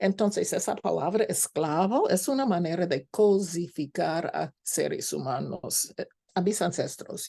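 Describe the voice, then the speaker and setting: A woman with a non-native accent talks at a fairly slow pace, hardly pausing at all. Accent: foreign accent in Spanish. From United States. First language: English (speaking Spanish). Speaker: scholar lecturer. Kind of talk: lecture. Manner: halting, with fillers.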